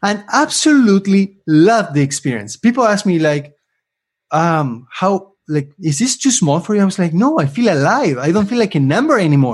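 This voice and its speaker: Animated and high-pitched, a man with an Argentine accent swings his pitch very widely while keeping his loudness very even. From Argentina. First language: Spanish. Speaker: LinkedIn influencer and career coach. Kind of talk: interview. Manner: fast talker.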